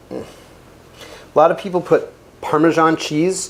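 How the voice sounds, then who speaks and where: At a moderate pace, a man talks with a New Jersey accent. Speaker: chef. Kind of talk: cooking tutorial. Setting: home kitchen. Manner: casual, jokey.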